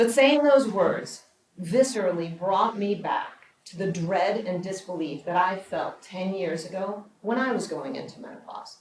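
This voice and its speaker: An ordinary speaking voice from a woman at medium pitch, fairly slow, with ordinary pitch variation and big swings in loudness. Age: 60s. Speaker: documentary producer and speaker. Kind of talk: prepared public speech.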